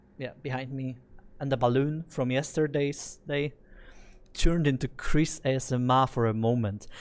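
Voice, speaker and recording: At a moderate pace and medium pitch, a man talks on a very clean recording with a silent background. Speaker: game studio PR specialist and streamer. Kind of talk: live gameplay stream. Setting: studio with lighting and soundproofing.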